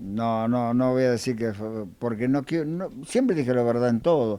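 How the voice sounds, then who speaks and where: This man's medium-pitched voice carries a dark, mellow tone. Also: very clean recording, silent background. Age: 80s+. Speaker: interviewee recalling childhood. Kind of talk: casual interview, reminiscing. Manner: halting.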